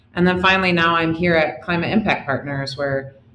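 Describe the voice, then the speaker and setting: There is noticeable background noise as a woman speaks in an American accent. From US Midwest, Detroit suburbs, Michigan. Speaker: company CEO. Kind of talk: interview. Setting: remote call.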